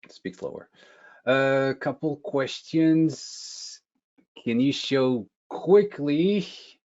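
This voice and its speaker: At a very slow pace, a man speaks with long, frequent pauses. His pitch is fairly high, with ordinary variation. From France. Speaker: product marketing manager. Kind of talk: webinar presentation.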